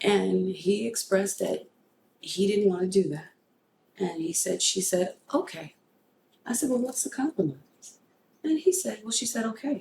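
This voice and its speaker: A woman's medium-pitched voice with vocal fry and lively intonation, broken by long, frequent pauses. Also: moderate pace. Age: 50s. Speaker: podcast host. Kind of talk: casual chat.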